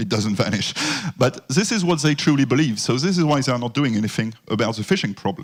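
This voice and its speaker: This man has a medium pitch and a French accent. His intonation is lively. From France. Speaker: security consultant. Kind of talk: conference presentation.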